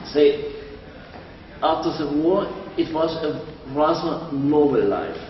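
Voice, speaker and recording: Very slowly and with long, frequent pauses, a man with a German accent speaks in a fairly high, monotone, flat voice, with audible room echo and noticeable background noise. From East Germany, Dresden. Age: 70s. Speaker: interviewee. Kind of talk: interview.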